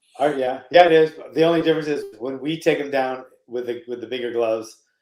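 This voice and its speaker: Over music in the background, a man of medium pitch talks at a very fast pace with fairly even intonation. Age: 60s. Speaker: martial arts coach. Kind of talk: casual chat.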